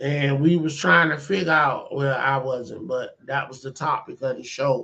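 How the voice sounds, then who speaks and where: Bright and sharp in tone, a man speaks with an American accent and fairly even intonation. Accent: sounds Southern US to others. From US, Washington DC. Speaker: video blogger. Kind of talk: casual monologue.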